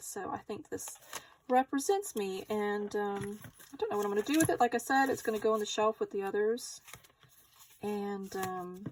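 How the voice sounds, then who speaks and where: Speaking at a moderate pace with a Southern US accent, a woman uses a medium pitch and ordinary pitch variation. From US South. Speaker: craft YouTuber. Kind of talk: tutorial. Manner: casual.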